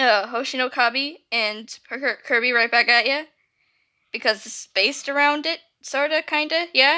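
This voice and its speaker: Her voice raised and projected, a woman speaks at a moderate pace in a high pitch with ordinary pitch variation and a bright, sharp tone, in a very clean recording with a silent background. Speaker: YouTuber reading own fanfiction. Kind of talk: casual intro before reading aloud. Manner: halting, many fillers.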